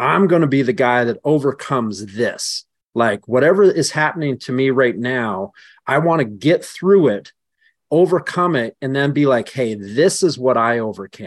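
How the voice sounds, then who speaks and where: A man speaks with a Western Canadian accent at a moderate pace and a medium pitch. His intonation is lively, and the background is quiet. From rural southern British Columbia, Canada. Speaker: strength coach and law enforcement officer, former hammer thrower. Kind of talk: casual interview conversation. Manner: long-winded.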